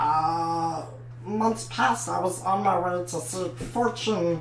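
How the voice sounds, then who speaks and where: A put-on character voice at middle pitch, very slow, with clear background noise. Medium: actual play. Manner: hesitant, filler-heavy.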